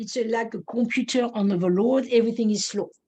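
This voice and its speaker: A woman's voice sits fairly high. She talks with a non-native accent. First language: not English. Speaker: neurofeedback practitioner. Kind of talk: webinar presentation. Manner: halting, many fillers.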